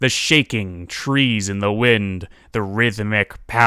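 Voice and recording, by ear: The speaker is reading aloud in a natural voice. The intonation stays fairly even.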